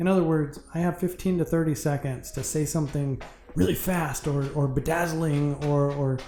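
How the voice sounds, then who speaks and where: The speaker moves at a fairly quick pace with music in the background. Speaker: student filmmaker and content creator. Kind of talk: direct-to-camera appeal.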